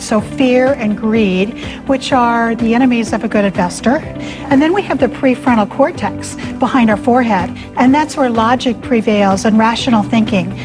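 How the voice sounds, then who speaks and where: A woman's fairly high voice at a moderate pace with hardly any pauses, very even loudness and ordinary pitch variation, with music in the background. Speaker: financial advisor. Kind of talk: TV interview answer.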